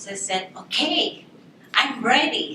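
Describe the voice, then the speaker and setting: With noticeable background noise and audible room echo, a woman talks in an animated tone with a Filipino accent. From Philippines. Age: 60s. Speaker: military veteran. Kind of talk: personal story talk. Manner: animated storytelling.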